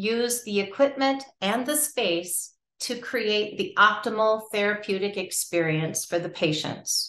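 Her delivery comes fairly slowly. An audible echo from the room hangs around the woman's words. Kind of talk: informational talk. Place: home room. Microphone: webcam.

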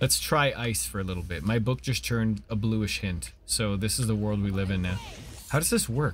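A man with a Canadian accent, a fairly low pitch, lively intonation and a moderate pace, plus light background noise. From Canada. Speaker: gaming streamer; streamer. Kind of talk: casual co-op gameplay chat. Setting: live stream. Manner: animated.

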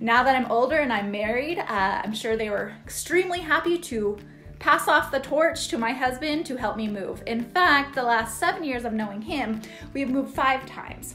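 A high-pitched woman at a moderate pace, with faint music in the background. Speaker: real estate agent vlogger. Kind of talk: casual vlog chat. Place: home room. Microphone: phone near.

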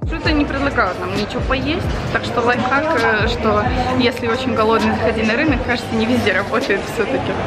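Over loud background music, a woman talks at a fairly quick pace with ordinary pitch variation. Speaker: vlogger. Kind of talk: casual vlog chat. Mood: cheerful, joking.

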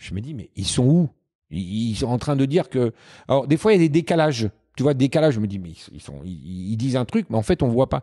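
Against a quiet background, a man with a dark, mellow, calm tone and a medium pitch talks at a fairly quick pace, with very wide pitch swings and big swings in loudness. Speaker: Formula 1 cameraman; podcast guest. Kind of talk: casual interview chat. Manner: usually fast-talking; calm, halting with many repetitions. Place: home room. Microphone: handheld.

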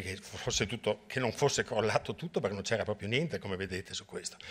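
A very fast-talking man. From Venice, Italy; Italy. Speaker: hydrology professor. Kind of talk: lecture. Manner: halting, many repetitions and fillers. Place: hall.

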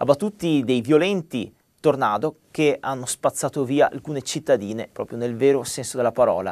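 The background stays quiet. A man talks at a moderate pace, his intonation lively. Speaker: weather presenter. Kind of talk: weather report. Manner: formal, brisk newsreader delivery. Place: studio. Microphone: lapel.

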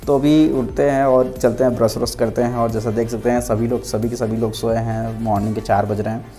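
A man talks at a fairly quick pace with hardly any pauses and fairly even intonation, faint music playing in the background. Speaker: travel vlogger. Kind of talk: casual vlog chat. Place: train. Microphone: earbuds.

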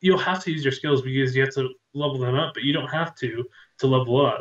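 In a quiet background with audible room echo, a man speaks in a somewhat breathy voice with a fairly high pitch. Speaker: gaming show co-host. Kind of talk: casual chat. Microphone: video call.

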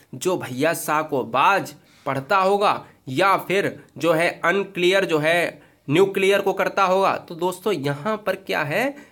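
A bright, sharp tone marks this voice, whose pitch varies in an ordinary way. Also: man, high pitch for a man. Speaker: exam prep teacher. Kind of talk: tutorial. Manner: animated.

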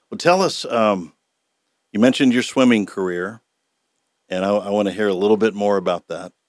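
With an American accent, the speaker moves at a fairly quick pace broken by long, frequent pauses, showing ordinary pitch variation, in a dry sound with no echo over a quiet background. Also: man, fairly low pitch for a man. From Oklahoma, US. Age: 60s. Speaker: podcast host. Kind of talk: casual interview chat. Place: studio. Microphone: studio mic.

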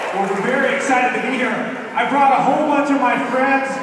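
There is noticeable background noise and strong room echo as a man talks. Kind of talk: stage banter to audience. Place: hall. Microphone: pa.

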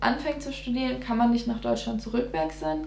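Light background noise and audible room echo surround a woman talking at a fairly quick pace. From Germany, near Giessen (Hesse); Hesse, Germany. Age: 20s. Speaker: dentistry student; interviewee. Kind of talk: casual interview. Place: home room.

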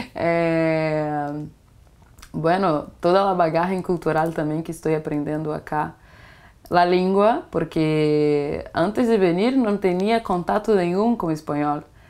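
Very slowly, a woman speaks in a fairly low voice with ordinary pitch variation. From Brazil, Itaboraí, Rio de Janeiro state; Rio de Janeiro state, Brazil. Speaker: exchange student. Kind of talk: interview; interview answer. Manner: halting, code-switching Portuguese and Spanish. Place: home room.

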